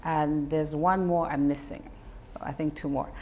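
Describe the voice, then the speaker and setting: This voice belongs to a woman. It sits very deep and low in pitch. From Zambia, Luapula province. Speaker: singer-songwriter. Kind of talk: interview.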